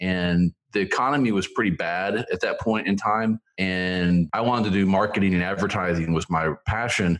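In an American accent, a man speaks at a very deep, low pitch. His intonation is fairly even. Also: very even loudness. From Oklahoma, Tulsa area. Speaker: small business lawyer. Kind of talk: interview.

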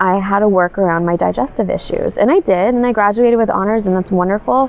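Noticeable background noise runs beneath a voice whose pitch varies in an ordinary way. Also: woman. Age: 30s. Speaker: blogger with Crohn's disease. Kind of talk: interview. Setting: at a conference.

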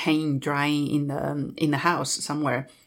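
A woman with a Chinese accent speaks at a fairly slow pace in a very deep, low voice, on a very clean recording with a silent background. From Southwest China (Dali, Yunnan). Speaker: travel company founder. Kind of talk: interview.

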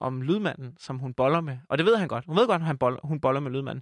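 A man's voice with ordinary pitch variation, dry and close with no echo, in a very clean recording with a silent background. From Jutland, Denmark. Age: 20s. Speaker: comedian and podcaster. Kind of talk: casual interview chat. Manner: rambling, hesitant, filler-heavy.

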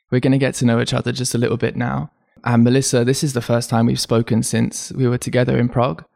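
Talking at a very fast pace, a man keeps his loudness very even and his intonation fairly even. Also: medium pitch for a man. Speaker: podcast host. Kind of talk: interview conversation.

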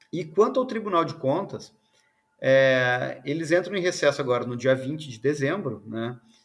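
This man has a plain, everyday voice, fairly high in pitch, and talks at a moderate pace. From Rio Grande do Sul, southern Brazil. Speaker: semiconductor engineer. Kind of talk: interview; casual chat.

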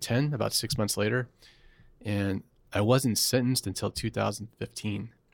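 A man's voice with vocal fry, fairly even intonation and an American accent, on a very clean recording with a silent background. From US South, Atlanta, Georgia. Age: 40s. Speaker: former Wall Street analyst, public speaker. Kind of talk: candid interview.

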